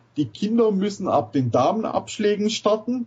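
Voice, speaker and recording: The voice swings very widely in pitch. It moves at a moderate pace. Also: man. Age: 40s. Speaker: cross golf club founder. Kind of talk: casual chat.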